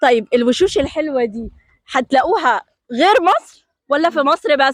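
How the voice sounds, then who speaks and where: A woman with a Jordanian accent speaks at a fairly slow pace in a high pitch, with an animated tone and lively intonation, recorded dry and close with no echo. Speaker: TV presenter. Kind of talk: on-location TV report with street interviews.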